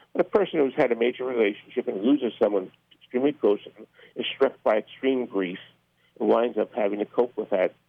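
With an American accent, a man at medium pitch speaks at a fairly quick pace, his pitch varying in an ordinary way. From Newark, New Jersey. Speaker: mental health advocate, board member. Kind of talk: radio interview. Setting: phone call. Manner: halting.

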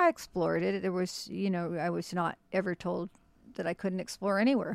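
Background silence surrounds this very clean recording. It is a woman who is talking. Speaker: author and historian. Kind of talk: interview conversation. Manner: halting, fillers.

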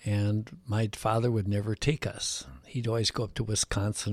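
A man's fairly low, somewhat breathy voice comes through on a very clean recording with a silent background. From US Midwest, Chicago. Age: 80s+. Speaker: retired gill netter. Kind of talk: interview, life story.

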